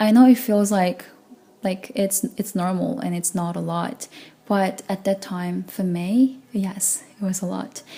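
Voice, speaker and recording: Her voice is somewhat breathy and medium in pitch. The woman speaks at a fairly slow pace with fairly even intonation. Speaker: vlogger. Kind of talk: personal vlog monologue.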